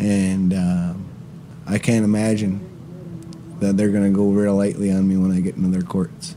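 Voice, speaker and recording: Over noticeable background noise, the speaker keeps a moderate pace with long, frequent pauses, fairly even intonation and very even loudness. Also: man, fairly low pitch for a man. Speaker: land defender. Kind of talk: interview. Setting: outdoors at a concert.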